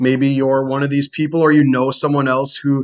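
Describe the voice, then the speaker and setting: Against a quiet background, a man with an American accent speaks at a fairly high pitch. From Wisconsin, near Green Bay. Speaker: college professor. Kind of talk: course introduction lecture. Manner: casual, with frequent fillers.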